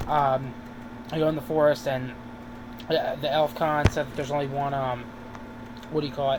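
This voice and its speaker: Long, frequent pauses break up a man's fairly high-pitched speech. His intonation is monotone and flat, with noticeable background noise behind him. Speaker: YouTube TV reviewer. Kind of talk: casual video review. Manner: fast; halting, many fillers.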